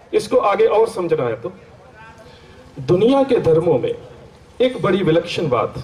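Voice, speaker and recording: Amid noticeable background noise, a man with a Punjabi accent speaks with long, frequent pauses. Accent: Punjabi-accented Hindi. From Punjab, India (Amritsar). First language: Punjabi (speaking Hindi). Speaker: Sikh scholar and lecturer. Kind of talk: religious seminar lecture. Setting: seminar hall with audience.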